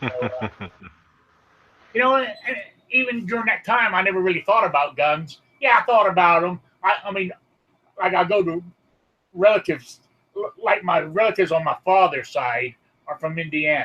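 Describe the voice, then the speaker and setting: A man's raised, projected voice, high in pitch, with lively intonation and long, frequent pauses. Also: moderate pace. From England. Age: 60s. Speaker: gun enthusiast. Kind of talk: casual chat.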